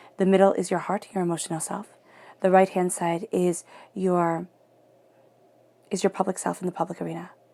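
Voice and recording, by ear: Speaking at a moderate pace, a woman has a fairly low pitch, a slightly mellow tone and vocal fry.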